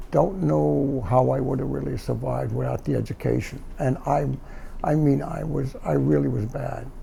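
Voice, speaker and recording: A medium-pitched man with a New York accent. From New York, Brooklyn (Bath Beach). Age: 70s. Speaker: doorman, Korean War veteran. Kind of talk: interview. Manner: halting.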